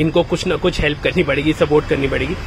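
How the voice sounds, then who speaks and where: A man with a fairly high pitch speaks at a moderate pace against noticeable background noise. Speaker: food vlogger. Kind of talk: casual talk to camera. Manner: excited.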